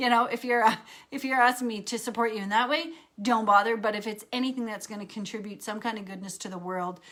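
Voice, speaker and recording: Talking very fast in a fairly high voice, a woman swings widely between loud and soft. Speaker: life and health coach. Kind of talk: casual talk to camera. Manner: upbeat.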